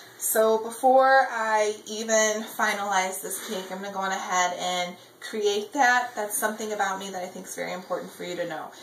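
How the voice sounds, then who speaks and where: Amid noticeable background noise and audible room echo, a woman speaks at a moderate pace and medium pitch with fairly even intonation and hardly any pauses. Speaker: baking show applicant. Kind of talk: audition video, casual self-description while baking. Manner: loud; outgoing, chatty with fillers.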